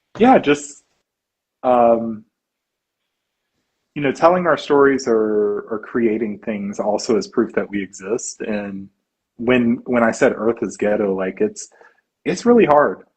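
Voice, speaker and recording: With music in the background, a man with an American accent and a medium pitch talks at a fairly slow pace, with ordinary pitch variation and long, frequent pauses. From Virginia. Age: 30s. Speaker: therapist and memoir author. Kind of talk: interview. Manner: halting, many fillers.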